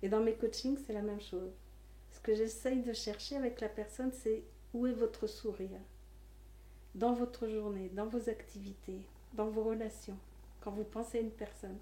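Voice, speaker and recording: Speaking at a moderate pace, a woman leaves long, frequent pauses between her words. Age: 60s. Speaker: life coach. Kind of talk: interview monologue.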